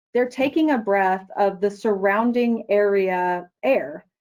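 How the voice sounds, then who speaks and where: Against a quiet background, a woman talks at a fairly slow pace in a plain, everyday voice with lively intonation. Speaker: product manager presenting a product; presenter. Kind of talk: webinar presentation; answering audience questions. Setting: online webinar. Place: office. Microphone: webcam.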